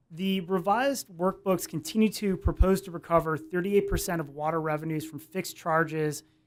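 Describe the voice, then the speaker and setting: A man at high pitch, fairly quick pace, ordinary pitch variation, very clean recording, silent background. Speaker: attorney. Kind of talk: cross-examination in legal hearing. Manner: mumbling a little.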